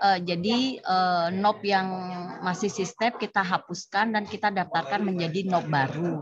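Over noticeable background noise, a woman speaks at a fairly slow pace with very even loudness, ordinary pitch variation and a dry sound with no echo. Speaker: tax office employee. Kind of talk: training discussion. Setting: video call. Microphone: video call.

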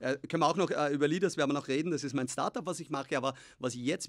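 Speaking very fast, a man keeps his intonation fairly even. Nothing much can be heard behind him. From Austria. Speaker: tech founder and investor; podcast guest. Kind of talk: interview. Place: studio. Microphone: studio mic.

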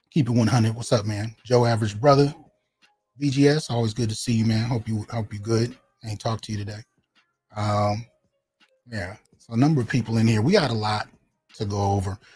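A somewhat breathy man keeps fairly even intonation while talking at a fairly quick pace. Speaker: channel host. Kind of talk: livestream commentary. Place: home room. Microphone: studio mic.

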